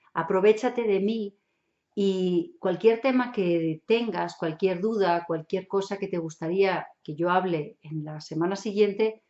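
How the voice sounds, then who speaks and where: With a strong German accent, a woman speaks at a fairly slow pace. Her pitch is medium, with ordinary variation. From Germany. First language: German (speaking Spanish). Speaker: hypnotherapist and NLP instructor. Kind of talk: online show monologue. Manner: casual, chatty.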